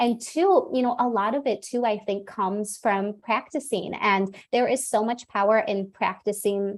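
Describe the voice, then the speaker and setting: A woman with a normal speaking voice talks at a moderate pace and a fairly high pitch, with ordinary pitch variation and hardly any pauses. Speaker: communication coach. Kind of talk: interview. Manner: many filler words.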